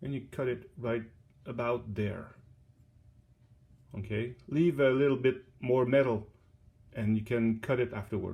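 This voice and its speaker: A man with a strong French accent speaks at a fairly slow pace and medium pitch, somewhat breathy, with fairly even intonation and long, frequent pauses. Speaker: DIY hobbyist. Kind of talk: tutorial. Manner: halting.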